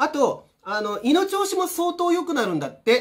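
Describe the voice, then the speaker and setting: A man's pitch swings very widely as he talks at a moderate pace. The background is quiet. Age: 50s. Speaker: energy healer and vlogger; vlogger. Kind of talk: casual vlog monologue. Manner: casual, many fillers and repetitions. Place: home room. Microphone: camera far.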